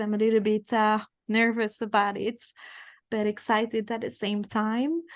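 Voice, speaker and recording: A woman with a French accent speaks fairly slowly at a fairly high pitch against a quiet background. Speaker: tantra teacher, book club host. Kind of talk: online group discussion.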